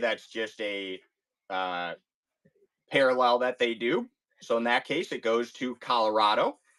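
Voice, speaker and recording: Recorded dry and close with no echo, a man with a Chicago accent speaks at a medium pitch in a bright, sharp tone with ordinary pitch variation. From US Midwest, Chicago. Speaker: card break streamer. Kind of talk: live stream sales break. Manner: animated.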